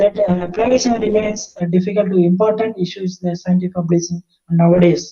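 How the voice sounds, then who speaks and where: A man's high, dark and mellow voice, fairly even in intonation, at a moderate pace. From India. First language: not English. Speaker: professor. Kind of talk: lecture. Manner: halting, many fillers.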